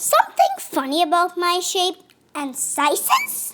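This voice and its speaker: A squeaky, put-on character voice at an extremely high pitch. The pace is fairly slow. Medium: read story. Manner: playful, punning.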